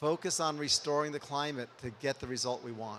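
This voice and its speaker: This man has a plain, everyday voice. He keeps a moderate pace with fairly even intonation. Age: 60s. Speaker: physicist, climate foundation founder. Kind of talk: panel discussion. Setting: conference panel.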